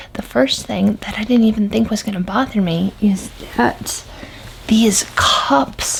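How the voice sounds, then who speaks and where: A quiet voice speaks at a very slow pace. Background noise is noticeable. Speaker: product reviewer. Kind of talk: product review vlog. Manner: hushed, quiet.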